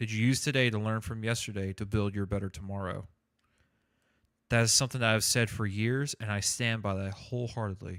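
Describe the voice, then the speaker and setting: A man's fairly low voice at a fairly quick pace, on a very clean recording with a silent background. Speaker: gaming streamer. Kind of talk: casual chat. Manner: halting.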